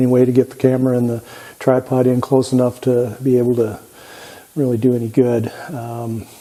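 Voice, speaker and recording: A man speaks at a medium pitch with monotone, flat intonation. Noticeable background noise runs under his voice. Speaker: woodworking machine channel host. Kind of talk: tutorial. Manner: halting.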